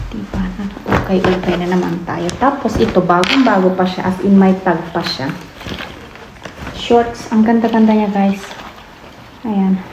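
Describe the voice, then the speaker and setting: A woman speaks at a fairly slow pace with long, frequent pauses. Noticeable background noise and audible room echo fill the recording. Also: medium pitch for a woman, ordinary pitch variation. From Philippines. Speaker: family vlogger. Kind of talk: casual vlog talk. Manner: soft-spoken.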